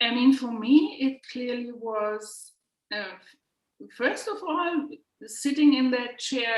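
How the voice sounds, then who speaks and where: Speaking in a German accent, a woman talks very slowly. Her pitch is fairly high, with ordinary pitch variation. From Germany. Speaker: healing practitioner and instructor. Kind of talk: interview. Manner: halting.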